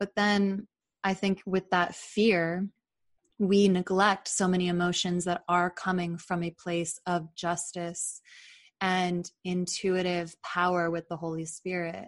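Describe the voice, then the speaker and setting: Very slow, flat, monotone speech comes through dry and close with no echo against a quiet background. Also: woman, fairly low pitch for a woman. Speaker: podcast host and author. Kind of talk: casual interview conversation.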